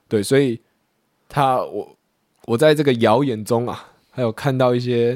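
A man talks at a fairly slow pace in a medium pitch. His intonation is fairly even, and he takes long, frequent pauses. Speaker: podcast co-host; conscript soldier on leave. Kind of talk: casual chat.

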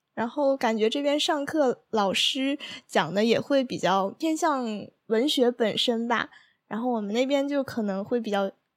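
Soft-spoken and gentle in tone, a woman speaks at a fairly slow pace with a high pitch and ordinary pitch variation in a very clean recording with a silent background. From Northeast China, Heilongjiang (Daqing). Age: 20s. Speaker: exchange student. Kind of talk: casual interview chat. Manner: gentle, soft tone.

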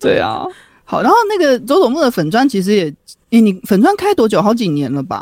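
The speaker has a Taiwanese accent. The pace is fairly quick. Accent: Taiwanese Mandarin. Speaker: podcast co-host. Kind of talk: casual chat.

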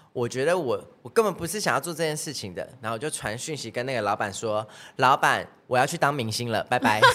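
Music plays behind a man who speaks at a fairly quick pace with lively intonation. His loudness rises and falls in big swings. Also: medium pitch for a man. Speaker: singer and dancer. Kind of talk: casual chat.

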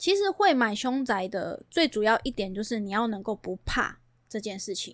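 A woman's fairly high voice in a Taiwanese accent, with ordinary pitch variation, on a very clean recording with a silent background. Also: moderate pace. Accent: Taiwanese Mandarin. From Taiwan, Banqiao (New Taipei). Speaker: real estate agent. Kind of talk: casual interview chat.

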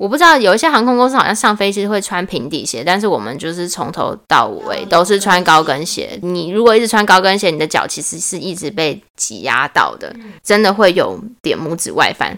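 With a normal speaking voice at a medium pitch, a woman talks at a fairly quick pace with hardly any pauses. Her loudness swings widely. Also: lively intonation. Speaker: former flight attendant. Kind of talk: casual chat.

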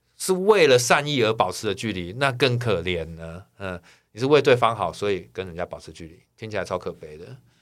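With an unremarkable speaking voice, a man talks at a fairly low pitch and a fairly quick pace, his intonation lively and his loudness swinging widely, on a very clean recording with a silent background. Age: 40s. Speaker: singer-songwriter. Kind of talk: casual chat.

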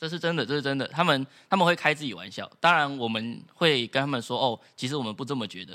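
On a very clean recording with a silent background, a man with a fairly high pitch and a bright, sharp tone speaks at a very fast pace with lively intonation, big swings in loudness, and hardly any pauses. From Taiwan. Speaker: former exchange student. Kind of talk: casual chat.

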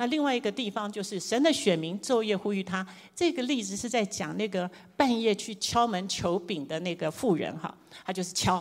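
A woman with a Taiwanese accent speaks at a moderate pace and a medium pitch, her intonation lively. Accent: Taiwanese Mandarin. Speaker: preacher. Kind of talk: sermon.

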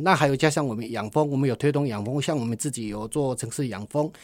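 This man has an ordinary speaking voice, a fairly high pitch and lively intonation. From Taiwan, Tainan. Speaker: social enterprise CEO, honey business owner. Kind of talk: radio interview.

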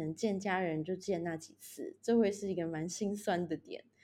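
A woman's dark, mellow voice with lively intonation at a moderate pace, on a very clean recording with a silent background. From Taiwan. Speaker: project manager working abroad. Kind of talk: casual interview chat. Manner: halting with repetitions.

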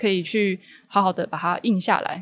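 A woman is speaking. Her pace is moderate. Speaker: ceramic artist. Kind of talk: casual interview. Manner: gentle, calm.

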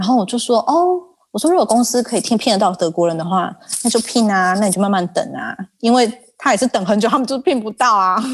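This woman talks at a very fast pace, her fairly high voice carried by lively intonation. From Taiwan. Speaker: regional sales manager. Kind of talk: casual interview.

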